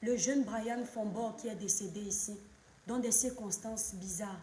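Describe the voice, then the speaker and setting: The speech runs at a fairly slow pace, with audible room echo around it. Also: woman. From Cameroon. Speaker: social media commentator, live streamer. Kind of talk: live stream monologue, political commentary. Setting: live stream at home, children present. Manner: impassioned.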